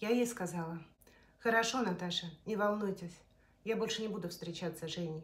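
The woman's voice is somewhat breathy, and she talks at a moderate pace. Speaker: storyteller. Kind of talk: personal story told to camera. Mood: emotional, confessional retelling. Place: kitchen. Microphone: phone near.

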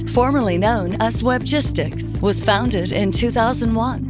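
Music is playing behind the speaker. She is a woman talking at a moderate pace. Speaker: voice-over artist. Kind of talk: corporate narration.

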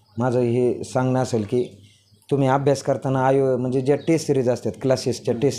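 Speaking at medium pitch, a man uses a plain, everyday voice. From rural Pune district, Maharashtra (Daund taluka). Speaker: newly selected police sub-inspector. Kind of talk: interview.

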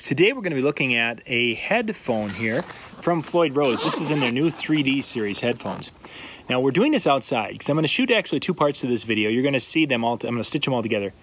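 Talking at a very fast pace with lively intonation, a man comes through in a dry recording with no echo and light background noise. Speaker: gear reviewer. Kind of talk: casual product review vlog. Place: garden. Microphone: phone near.

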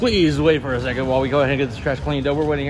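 A man with ordinary pitch variation over faint background music. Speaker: host. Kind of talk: casual vlog chat. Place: cafe. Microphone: phone near.

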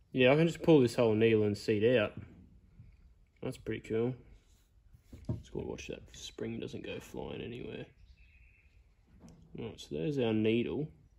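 A man talks with lively intonation and a slightly mellow tone touched by vocal fry. His speech has long, frequent pauses. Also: medium pitch for a man, fairly slow pace.

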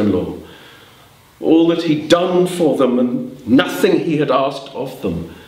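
The speaker is a man. His voice carries an audible echo from the room. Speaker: storyteller. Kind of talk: live storytelling performance. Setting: storytelling club with audience. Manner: animated, conversational, dramatic; playful, with asides to audience. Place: hall. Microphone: camera far.

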